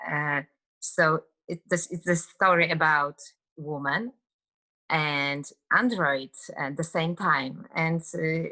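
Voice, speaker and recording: A woman with a Polish accent speaks very slowly at a fairly low pitch, in a bright, sharp tone with ordinary pitch variation and long, frequent pauses. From Poland. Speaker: actress. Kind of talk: interview. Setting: video call. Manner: halting.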